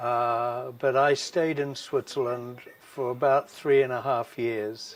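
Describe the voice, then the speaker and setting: A man with a New Zealand accent, medium pitch, monotone, flat intonation and a very slow pace. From New Zealand, Wellington. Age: 60s. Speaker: former ski club bar manager. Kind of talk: interview.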